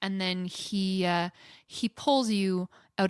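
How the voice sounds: The clip features a natural reading voice with fairly even intonation.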